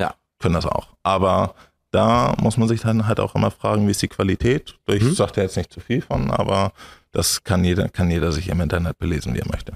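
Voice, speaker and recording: A man's very deep, low voice with vocal fry and ordinary pitch variation, at a fairly quick pace, dry with no echo against a quiet background. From northern Germany, Schleswig-Holstein. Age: 20s. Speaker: entrepreneur; podcast guest. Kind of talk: interview. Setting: on his farm. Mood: relaxed, friendly. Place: studio. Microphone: studio mic.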